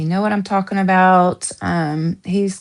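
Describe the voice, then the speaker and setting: A woman speaks with an American accent at a fairly slow pace, with fairly even intonation. The sound is dry and close with no echo, against a quiet background. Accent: Southern US accent, shows at times. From US South. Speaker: true crime streamer. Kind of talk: live stream chat. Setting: live stream at home. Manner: casual, rambling with self-corrections.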